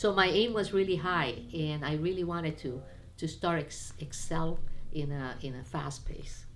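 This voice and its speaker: A woman's words come at a moderate pace, and audible room echo follows them. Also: fairly low pitch for a woman, ordinary pitch variation. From Peru, Lima, to Chinese parents. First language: Spanish and Chinese. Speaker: businesswoman. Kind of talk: personal interview. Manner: halting, frequent restarts.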